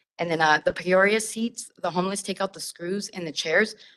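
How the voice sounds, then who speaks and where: Speaking at a very fast pace, a woman uses a fairly low voice. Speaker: public commenter at transit meeting. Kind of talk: public comment. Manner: loud.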